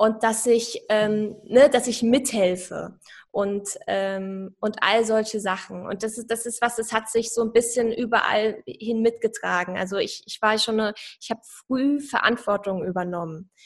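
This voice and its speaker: A woman has a normal speaking voice with a fairly high pitch. She speaks at a fairly slow pace with fairly even intonation. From Saarland, Germany. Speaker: personal branding coach. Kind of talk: podcast interview.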